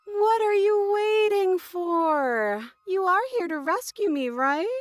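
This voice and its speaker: In a put-on character voice, a woman talks at an extremely high pitch and a fairly slow pace. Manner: pleading on the surface, slightly menacing.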